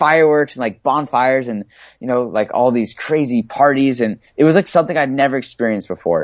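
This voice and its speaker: A man with an American accent, medium pitch, ordinary pitch variation and a fairly quick pace. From San Diego, California. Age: 20s. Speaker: author and speaker. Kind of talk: casual interview chat.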